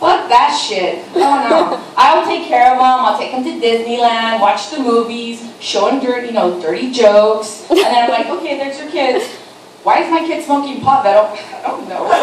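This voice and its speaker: A woman speaks at a high pitch with very wide pitch swings and big swings in loudness. Audible room echo and noticeable background noise fill the recording. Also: moderate pace. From Mexico. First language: Spanish. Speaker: stand-up comedian. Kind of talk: stand-up.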